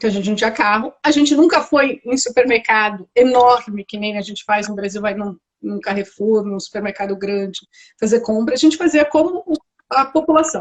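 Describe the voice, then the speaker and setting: A woman's ordinary speaking voice, fairly high in pitch, at a moderate pace with big swings in loudness. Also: lively intonation. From Brazil. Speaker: architect living abroad. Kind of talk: interview.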